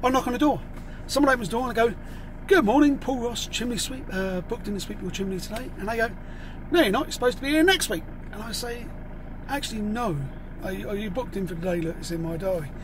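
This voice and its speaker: The sound is dry with no echo but has noticeable background noise as a man with a high pitch talks at a very fast pace. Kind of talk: casual vlog chat. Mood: humorous, exasperated storytelling. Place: car. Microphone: phone near.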